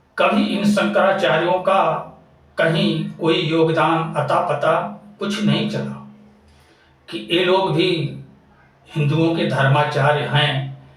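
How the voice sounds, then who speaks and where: With audible room echo, a man talks in a high pitch and fairly even intonation, taking long, frequent pauses. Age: 60s. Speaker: religious-political commentator. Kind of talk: monologue. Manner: impassioned.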